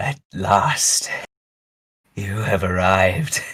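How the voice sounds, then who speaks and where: A man puts on a raspy character voice at a fairly low pitch. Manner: eerie, knowing.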